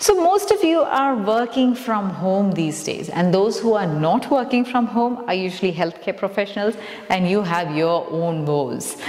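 An upbeat voice with lively intonation moves at a moderate pace with hardly any pauses, and audible room echo surrounds it. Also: woman. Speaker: yoga instructor. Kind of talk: guided exercise class. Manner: upbeat, encouraging. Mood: calm, encouraging. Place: empty room. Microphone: lapel.

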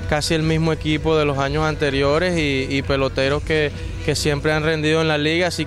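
Clear music plays behind a man who speaks at a moderate pace in a dry recording with no echo. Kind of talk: interview answer. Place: stadium. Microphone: handheld.

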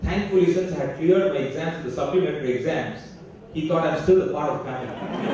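A fairly quick voice with light noise in the background. The room echo is strong. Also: man. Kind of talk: inaugural speech with storytelling. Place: stage.

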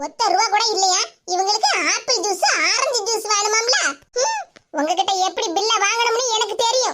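A woman performs a cartoonish character voice at an extremely high pitch, with very even loudness and ordinary pitch variation. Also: moderate pace.

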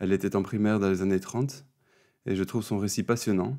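A man's dark, mellow tone at a fairly quick pace, fairly even intonation, on a very clean recording with a silent background. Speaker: speech therapist and interviewer. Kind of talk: interview.

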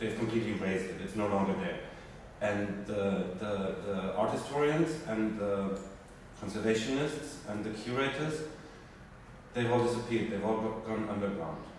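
A man's fairly low voice at a moderate pace, with ordinary pitch variation, long, frequent pauses, strong room echo and light background noise. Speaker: speaker. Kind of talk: spontaneous talk to audience. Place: hall. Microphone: camera far.

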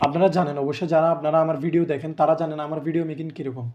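The pitch of this man's voice is high. He keeps his intonation fairly even. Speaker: YouTuber commenting on politics. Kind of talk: commentary monologue to camera.

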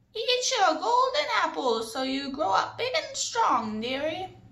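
Echo is audible as a put-on character voice moves slowly through very wide pitch swings. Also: woman, extremely high pitch for a woman. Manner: doting, coaxing.

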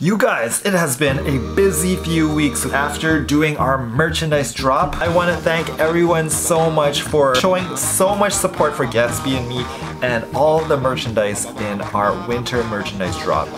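A man talks at a fairly slow pace. There is clear music in the background. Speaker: vlogger. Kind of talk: casual vlog chat. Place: home room. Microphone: phone near.

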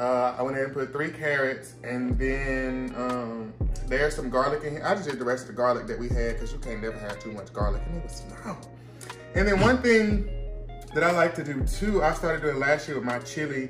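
Clear music plays behind a man speaking. He talks fairly quickly with ordinary pitch variation. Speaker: home cook vlogger. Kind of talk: casual cooking vlog chat. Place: kitchen.

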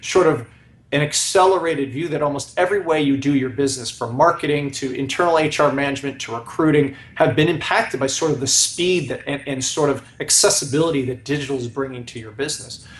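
Someone speaks at a very fast pace with ordinary pitch variation and audible room echo. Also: man. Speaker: guest. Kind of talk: interview answer. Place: home room. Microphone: video call.

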